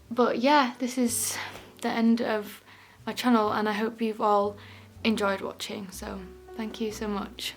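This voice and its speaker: Using a shaky put-on character voice at a fairly high pitch, a woman speaks at a moderate pace with fairly even intonation and long, frequent pauses. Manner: voice quivering.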